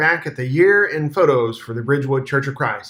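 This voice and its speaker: With noticeable background noise behind him, a man talks at a fairly quick pace. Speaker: church minister. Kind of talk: video year-in-review narration. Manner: fast.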